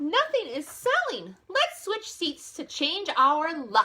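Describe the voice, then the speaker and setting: A woman's put-on character voice, squeaky and extremely high in pitch, with very wide pitch swings and a very slow pace. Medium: read story.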